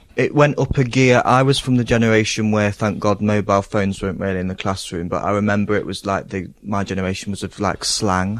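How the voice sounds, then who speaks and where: Delivered with an East Midlands accent, the speech comes at a very fast pace with hardly any pauses and fairly even intonation. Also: man, fairly low pitch for a man. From Hucknall, Nottingham, England. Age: 20s. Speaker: gardener. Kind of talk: casual chat. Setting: outdoors.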